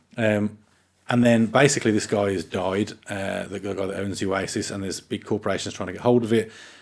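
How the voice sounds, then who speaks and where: A man with a Birmingham accent speaks at a fairly quick pace in a fairly low pitch. His intonation is fairly even, and the recording is very clean with a silent background. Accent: Birmingham (Brummie). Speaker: gaming podcast co-host. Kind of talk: casual chat.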